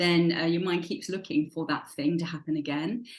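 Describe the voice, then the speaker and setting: This woman has a normal speaking voice, fairly low in pitch, and speaks at a moderate pace. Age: 60s. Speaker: habit coach. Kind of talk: podcast interview.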